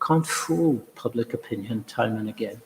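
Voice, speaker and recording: There is noticeable background noise while a man speaks at a fairly slow pace. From France. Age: old. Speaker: diplomat. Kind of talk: lecture. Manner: halting.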